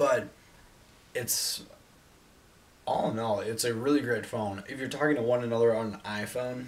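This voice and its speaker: A man speaks with fairly even intonation. He leaves long, frequent pauses. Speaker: tech reviewer. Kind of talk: casual review vlog. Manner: fast. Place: home room. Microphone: camera far.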